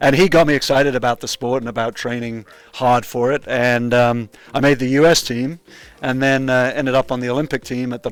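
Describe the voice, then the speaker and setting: A man speaks very fast. His voice sits at a medium pitch with fairly even intonation. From Wales. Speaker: kayak coach and former Olympic athlete. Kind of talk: casual interview. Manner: relaxed with frequent fillers.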